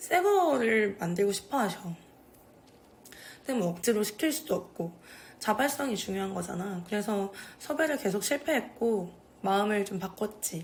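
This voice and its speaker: A woman talks in a relaxed tone, somewhat breathy, at a moderate pace. Her intonation is lively, broken by long, frequent pauses. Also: medium pitch for a woman. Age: young. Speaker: video creator documenting older residents' stories. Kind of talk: casual talk to camera. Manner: informal, relaxed.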